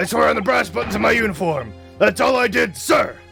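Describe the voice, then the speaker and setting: A raspy put-on character voice moves at a fairly quick pace with clear music in the background. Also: man, fairly high pitch for a man. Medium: game stream. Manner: blustering, military jargon.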